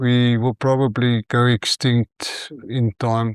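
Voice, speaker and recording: A man's medium-pitched, monotone, flat delivery at a very slow pace, dry and close with no echo, in a very clean recording with a silent background. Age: 60s. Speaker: family physician. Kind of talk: interview conversation. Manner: halting.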